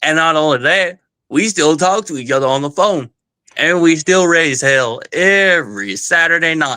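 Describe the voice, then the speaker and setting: With a Southern US accent, a man speaks in a fairly high, bright, sharp voice. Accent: Southern-sounding, like South Georgia. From southern Ohio. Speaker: caller. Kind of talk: heated debate.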